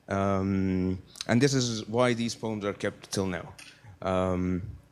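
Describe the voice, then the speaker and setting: A man speaks at a very slow pace and a fairly low pitch. His intonation stays fairly even. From Nubia, southern Egypt. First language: Nubian. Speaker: speaker at a talk event. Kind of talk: presentation lecture. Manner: halting, many fillers.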